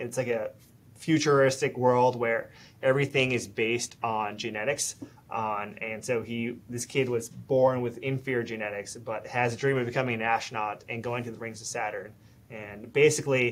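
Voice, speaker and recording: A man at a moderate pace, in a monotone with flat intonation. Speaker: interview guest. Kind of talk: interview answer. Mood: relaxed, friendly. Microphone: video call.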